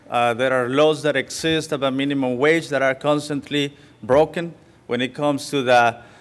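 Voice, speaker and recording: With a Spanish accent, a man speaks at a moderate pace. His pitch is fairly high and his intonation fairly even. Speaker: farmworker organizer. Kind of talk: public talk. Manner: halting.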